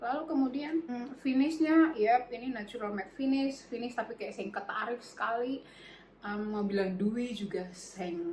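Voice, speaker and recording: A woman's high-pitched voice, lively in intonation, at a fairly slow pace. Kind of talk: beauty product review to camera. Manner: casual, chatty.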